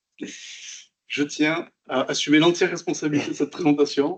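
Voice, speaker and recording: A man speaks with a Toulouse accent at a fairly high pitch. His intonation is monotone and flat, at a moderate pace. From southern France, Toulouse. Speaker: software developer. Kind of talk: conference talk.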